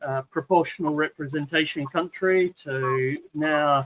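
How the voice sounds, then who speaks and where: A man with a slight New Zealand accent speaks at a fairly slow pace and fairly high pitch, his bright, sharp tone held in a monotone, flat intonation with a dry, close sound and no echo. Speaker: viewer and channel helper. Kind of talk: casual chat.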